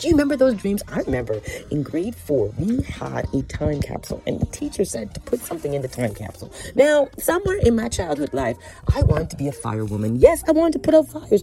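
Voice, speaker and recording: Over noticeable background noise, a woman speaks at a very fast pace in an animated tone. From Canada, Scarborough, Ontario, Jamaican roots. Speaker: podcast host. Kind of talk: casual monologue.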